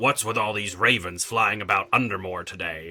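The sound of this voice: Using a put-on character voice, a man talks at a moderate pace, his pitch fairly low with ordinary variation.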